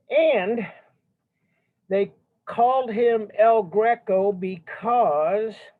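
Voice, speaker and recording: A man speaks loudly at a very slow pace, his pitch high and its variation ordinary. Long pauses come often. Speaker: art history teacher. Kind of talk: lecture.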